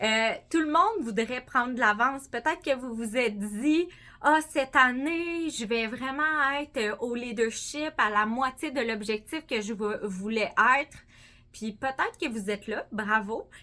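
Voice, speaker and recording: A woman with a Quebec accent, high-pitched and animated, at a fairly slow pace, with ordinary pitch variation and big swings in loudness. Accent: Québécois French. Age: 30s. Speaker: sales director. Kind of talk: motivational speech.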